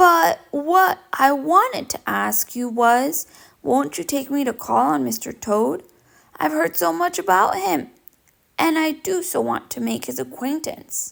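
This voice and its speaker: A woman speaks at a fairly slow pace in a put-on character voice pitched high. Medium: read story. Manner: mild, agreeable.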